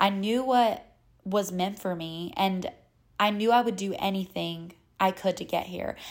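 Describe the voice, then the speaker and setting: A woman speaks with a Southern US accent. Her pace is fairly slow. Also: medium pitch for a woman, fairly even intonation. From North Carolina. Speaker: podcast host and model. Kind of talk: casual solo podcast monologue.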